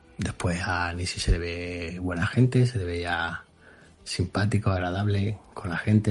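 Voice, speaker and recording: With fairly even intonation, a man talks in a voice that is somewhat breathy. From Extremadura, Spain. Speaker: retro computer enthusiast. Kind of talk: recorded voice message.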